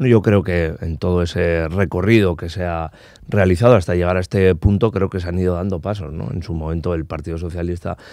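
A man's very deep, low voice with a dark, mellow tone, fairly even intonation and a fairly quick pace, dry with no echo against a quiet background. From Basque Country, Spain. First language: Basque (speaking Spanish). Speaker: politician. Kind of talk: interview. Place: studio. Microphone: studio mic.

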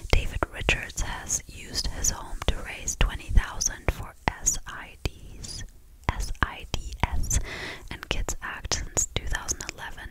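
Soft-spoken and whispering at a fairly slow pace, the voice sounds dry with no echo against loud background noise. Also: woman. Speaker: content creator. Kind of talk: casual chat, reading Christmas facts. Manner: soft close-mic whisper. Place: home room. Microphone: studio mic.

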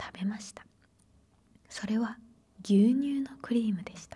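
The tone is dark and mellow, somewhat breathy. Delivery comes at a fairly slow pace. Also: woman. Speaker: storyteller. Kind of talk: soft story reading, ASMR style. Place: home room. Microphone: handheld.

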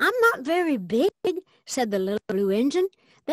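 Quiet surrounds the voice in the background. The clip is plain reading aloud.

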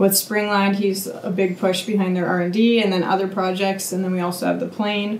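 A woman speaks at a moderate pace in a flat monotone, with audible room echo and light background noise. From Canada, rural Manitoba. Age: 30s. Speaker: farmer. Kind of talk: casual chat. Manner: loud. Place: office.

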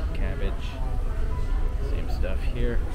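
A man is talking. Loud background noise is present. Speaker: food vlogger. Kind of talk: casual vlog chat. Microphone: phone near.

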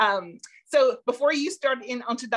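Quiet background behind a woman speaking. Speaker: online show co-host. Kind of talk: interview show hosting. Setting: video call. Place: home room. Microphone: webcam.

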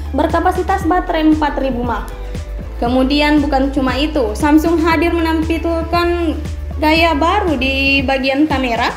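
Clear music plays in the background as the speaker goes at a fairly slow pace with audible room echo. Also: woman. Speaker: phone reviewer. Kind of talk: product review talk. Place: home room. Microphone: phone near.

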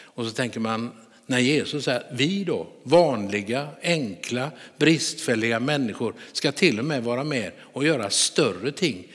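A man's plain, everyday voice, fairly slow in pace, with lively intonation. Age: 60s. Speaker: pastor. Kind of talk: sermon.

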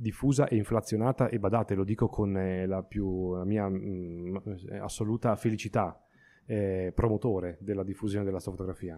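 A man's dark, mellow voice, fairly low in pitch, at a moderate pace with fairly even intonation. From Emilia-Romagna, Italy. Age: 30s. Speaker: astrophotographer. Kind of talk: interview. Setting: studio. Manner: halting.

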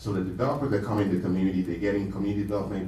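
A man's fairly low voice at a very fast pace, with audible room echo. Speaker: political candidate; candidate. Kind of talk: candidates' forum. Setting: stage with audience. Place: meeting room. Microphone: camera far.

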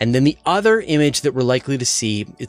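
A man's voice sounds dry with no echo, while faint music plays in the background. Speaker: science news host. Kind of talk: news commentary. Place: studio. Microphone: studio mic.

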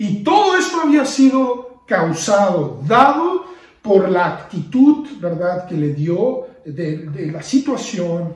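Room echo is audible as a man speaks at a very slow pace. His pitch is high, with very wide swings. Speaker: preacher. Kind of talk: sermon on a Bible passage, with prayer. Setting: online video service in lockdown, few people present. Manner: earnest, teacherly, exhorting the listener directly. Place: home room. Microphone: phone near.

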